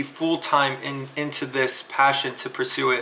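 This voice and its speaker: This man's voice comes with noticeable noise behind it. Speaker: math teacher vlogger. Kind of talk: casual vlog talk to students. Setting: outdoors, then indoor workspace. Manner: hesitant, many fillers; loud.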